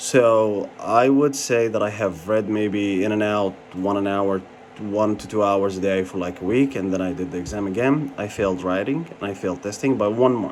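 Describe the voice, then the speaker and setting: Over noticeable background noise, a man speaks at a moderate pace. His pitch is fairly low, with ordinary variation. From Jordan. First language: Arabic. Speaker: pharmacy license candidate, vlogger. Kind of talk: personal review vlog. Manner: casual, hesitant with fillers.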